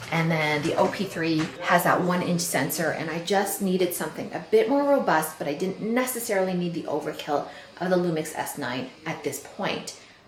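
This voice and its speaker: With lively intonation and hardly any pauses, a woman speaks at a moderate pace in a fairly low voice. Noticeable background noise and audible room echo are present. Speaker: camera reviewer vlogger. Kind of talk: casual vlog review. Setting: outdoors in backyard. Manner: quiet, not projecting.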